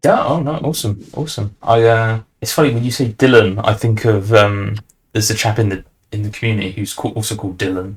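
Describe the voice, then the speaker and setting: Speaking very fast, a man with a British accent uses a fairly low, somewhat breathy voice. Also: ordinary pitch variation. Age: young. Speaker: podcast host. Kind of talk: casual chat.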